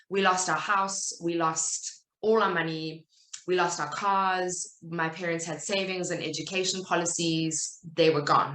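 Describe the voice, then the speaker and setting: A woman speaks with a South African accent in a bright, sharp tone. Her delivery is fairly slow and monotone, with audible room echo. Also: fairly low pitch for a woman. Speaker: writer and content business owner. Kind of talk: talk at a virtual summit.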